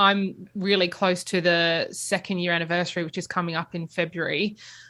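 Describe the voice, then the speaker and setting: A bright, sharp tone with an Australian accent in a very clean recording over a silent background. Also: woman. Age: young. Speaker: podcast host. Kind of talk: interview.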